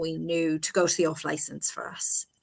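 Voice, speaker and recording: With an Irish accent, a woman speaks at a fairly slow pace. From Ireland, Cork. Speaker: broadcaster and author. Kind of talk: interview.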